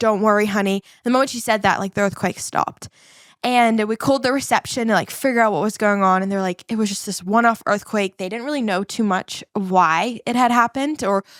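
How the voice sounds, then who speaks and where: A woman with a New Zealand accent speaks in an animated tone at a fairly high pitch and a fairly quick pace. The recording is very clean, dry and close, with no echo and a silent background. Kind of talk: podcast interview, personal testimony.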